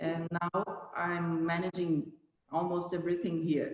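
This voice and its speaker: A woman with a Brazilian Portuguese accent speaks at a fairly slow pace in a fairly low pitch. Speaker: company general manager. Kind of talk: interview. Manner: halting.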